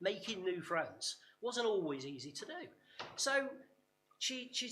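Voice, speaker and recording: With an East Midlands accent, a man's bright, sharp voice swings very widely in pitch, and audible room echo surrounds it. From English East Midlands, Nottinghamshire. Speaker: workshop speaker. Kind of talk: conference talk. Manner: hesitant, many fillers and repetitions.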